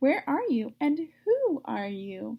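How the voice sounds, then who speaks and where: A woman puts on a character voice pitched high. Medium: read story. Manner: eager, earnest.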